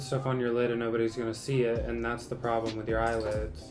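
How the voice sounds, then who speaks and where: A man's voice with music in the background. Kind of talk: casual makeup Q&A talk to camera. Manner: flat, little emotion.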